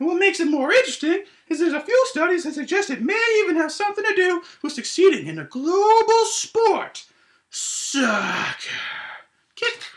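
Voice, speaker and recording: At a moderate pace, a man puts on a character voice with an extremely high pitch. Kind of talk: educational science explainer.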